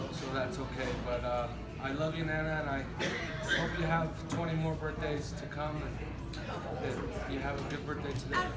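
A man at a moderate pace with long, frequent pauses, clear music in the background. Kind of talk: casual birthday speech. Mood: warm, slightly nervous. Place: cafe. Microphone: phone near.

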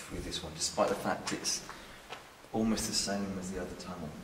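Over noticeable background noise, a man speaks at a moderate pace. His very deep, low voice stays monotone and flat. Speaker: medium leading a ghost hunt. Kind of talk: spoken impressions during investigation. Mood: hushed, eerie, deliberate. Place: tunnel cave. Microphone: camera far.

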